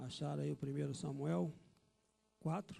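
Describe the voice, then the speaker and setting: Here a man speaks with a dark, mellow tone. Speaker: pastor. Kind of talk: sermon. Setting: church.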